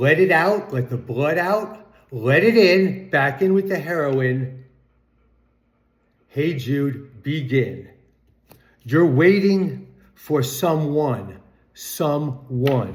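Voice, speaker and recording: A man's somewhat breathy, fairly high voice with lively intonation, a very slow pace, long, frequent pauses and audible room echo. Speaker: music commentary vlogger. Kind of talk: casual monologue.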